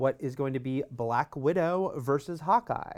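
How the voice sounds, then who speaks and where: A man with a plain, everyday voice and a fairly high pitch talks at a fairly slow pace with ordinary pitch variation, recorded very cleanly against a silent background. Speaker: podcast host, entertainment journalist.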